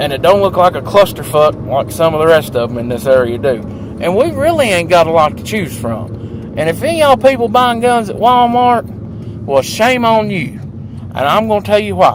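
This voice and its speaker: A man with a southern Appalachian accent, a moderate pace, very wide pitch swings and noticeable background noise. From southwest Virginia. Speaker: vlogger. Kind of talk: casual chat. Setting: in a car. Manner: animated.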